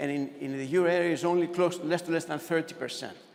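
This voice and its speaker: A high-pitched man's voice with ordinary pitch variation over noticeable background noise. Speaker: economist presenter. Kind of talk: conference presentation. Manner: fast.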